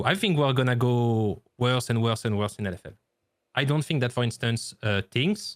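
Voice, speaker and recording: On a very clean recording with a silent background, a man with a French accent speaks at medium pitch and a moderate pace, with ordinary pitch variation. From France. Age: 30s. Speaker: esports caster and former coach. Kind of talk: podcast interview. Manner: halting.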